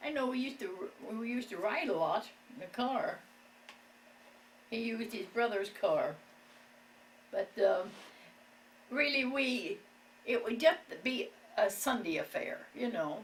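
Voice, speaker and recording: Over noticeable background noise, a woman with a rural Ohio accent speaks at a high pitch, her voice swinging very widely in pitch, with long, frequent pauses. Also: fairly slow pace. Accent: Midwestern US, rural Ohio. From Ohio, Wooster area. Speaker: elderly local resident. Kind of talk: oral history interview.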